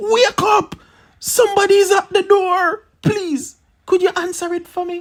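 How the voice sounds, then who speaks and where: The speaker uses an extremely high put-on character voice at a fairly slow pace. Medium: read story. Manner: sly, wheedling.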